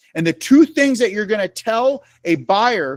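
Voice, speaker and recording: In an American accent, a man speaks in an animated tone with lively intonation. The recording is very clean with a silent background, and the sound is dry and close with no echo. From New York State, Syracuse. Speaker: real estate trainer. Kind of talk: training presentation. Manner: fast.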